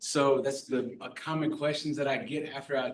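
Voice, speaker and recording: Speaking at a moderate pace, a man with an American accent has an unremarkable speaking voice pitched fairly high. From US South (New Orleans, South Florida). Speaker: pastor, charity officer. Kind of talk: public talk at board meeting.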